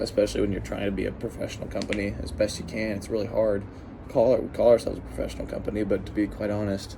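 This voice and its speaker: A man talks at a very fast pace with fairly low pitch and ordinary pitch variation. Audible room echo surrounds his voice. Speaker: lawn care business owner. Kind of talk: personal vlog storytelling. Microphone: no microphone.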